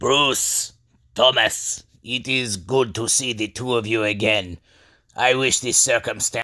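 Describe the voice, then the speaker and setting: This man uses a put-on character voice at a medium pitch, with fairly even intonation and a fairly slow pace. The recording is very clean, with a silent background. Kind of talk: legend storytelling. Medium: comedy sketch. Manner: solemn, grave.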